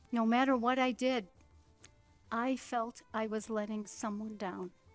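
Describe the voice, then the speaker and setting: Over music in the background, a woman speaks at a fairly high pitch and fairly slow pace in a monotone, flat intonation. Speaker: stage actress; adult daughter caring for aging mother. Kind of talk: storytelling narration.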